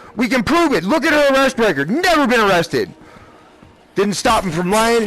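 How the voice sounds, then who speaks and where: A man speaks with a high pitch and lively intonation. Noticeable background noise runs behind him. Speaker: gaming streamer. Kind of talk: emotional personal rant during gameplay stream. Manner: emotional, agitated.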